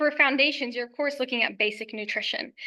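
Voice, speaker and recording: Against a quiet background, a woman speaks in a raised, projected voice. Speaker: nutritionist. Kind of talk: educational presentation.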